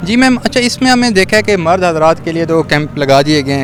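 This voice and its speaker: Noticeable background noise sits under speech with lively intonation. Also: man. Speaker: reporter interviewing at rally. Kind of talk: street interview question.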